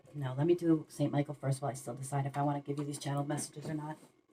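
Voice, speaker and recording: Very fast and in a monotone, flat intonation, a woman speaks at a very deep, low pitch. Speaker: tarot reader. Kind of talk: tarot reading. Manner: mumbling.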